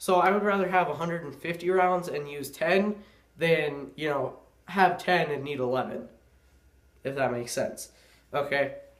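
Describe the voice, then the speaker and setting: In audible room echo, a man with a high pitch talks at a moderate pace and ordinary pitch variation, pausing often and at length. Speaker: gun and gear video maker. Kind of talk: casual gear tutorial. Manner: casual, filler-heavy.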